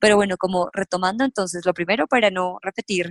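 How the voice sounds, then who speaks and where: With a dry, close sound and no echo at all, a woman is talking. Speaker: personal finance youtuber. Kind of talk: interview.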